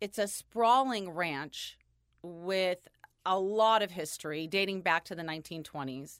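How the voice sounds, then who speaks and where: A woman with an American accent talks fairly slowly in an unremarkable speaking voice at medium pitch, with ordinary pitch variation. Her loudness swings widely, and the recording is very clean with a silent background. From California. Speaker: photographer. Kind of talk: casual chat.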